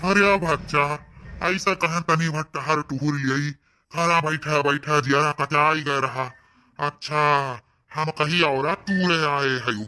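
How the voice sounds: A man puts on a cartoonish character voice, fairly high in pitch, with fairly even intonation. He talks at a very slow pace against a quiet background.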